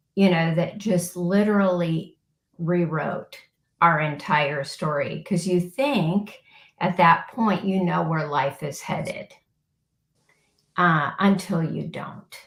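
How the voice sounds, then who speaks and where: Somewhat breathy, a woman with an American accent speaks very slowly in a fairly low pitch, leaving long, frequent pauses. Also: ordinary pitch variation. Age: 60s. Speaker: podcast guest, former occupational therapist. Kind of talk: interview testimony.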